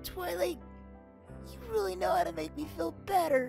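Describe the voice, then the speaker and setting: Clear music plays in the background. The speaker uses a put-on character voice at a moderate pace. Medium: dub. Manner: emotional, hesitant.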